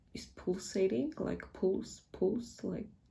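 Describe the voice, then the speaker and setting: A woman with a Polish accent speaks at a very slow pace, her medium-pitched voice dark and mellow with vocal fry. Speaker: tarot reader. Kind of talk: tarot reading. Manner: casual, hesitant.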